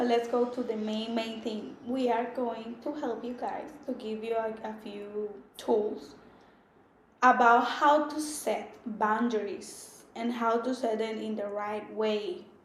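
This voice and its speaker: A woman speaks very slowly with a Spanish accent, her fairly high voice showing ordinary pitch variation. Audible room echo fills the recording. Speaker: podcast co-host. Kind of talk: casual chat.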